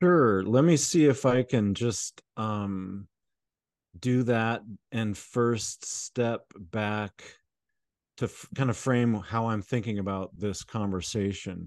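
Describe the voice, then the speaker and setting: Recorded dry and close with no echo and a quiet background, a man with a medium-pitched voice speaks very slowly with ordinary pitch variation. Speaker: therapist. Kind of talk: podcast interview conversation. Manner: thoughtful, hesitant with filler words.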